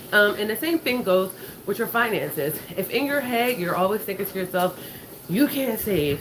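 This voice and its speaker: Amid noticeable background noise, a woman at medium pitch makes very wide pitch swings. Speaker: finance and lifestyle vlogger. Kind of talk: casual motivational talk while walking. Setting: on a walking pad at home. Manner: fast.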